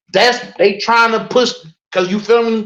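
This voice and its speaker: A man speaks in a raised, projected voice at an extremely high pitch. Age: 30s. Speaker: podcast guest. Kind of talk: casual chat. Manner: animated.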